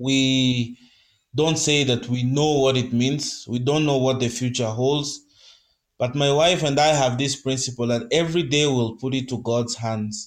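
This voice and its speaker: Speech moves at a fairly slow pace. Pitch changes little, keeping the intonation fairly even. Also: man. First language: Kenyan mother tongue. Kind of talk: testimony and devotional talk. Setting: live podcast.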